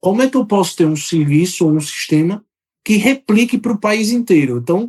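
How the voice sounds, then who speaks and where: Pitched high, a man speaks at a moderate pace with lively intonation. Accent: Sergipe. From Brazil, Aracaju, Sergipe (Northeast). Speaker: software company executive. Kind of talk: podcast interview.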